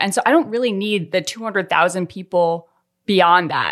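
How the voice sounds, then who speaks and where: Using a normal speaking voice, a woman talks at a fairly quick pace with lively intonation and a medium pitch. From Colorado, US. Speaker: podcast co-host and editor. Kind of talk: casual chat.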